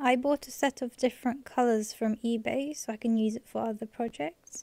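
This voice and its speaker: A soft-spoken woman with a fairly high pitch and a dark, mellow tone, at a moderate pace. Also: ordinary pitch variation, dry, close sound with no echo. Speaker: embroidery and DIY craft tutorial maker. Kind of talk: soft-spoken instructional ASMR tutorial.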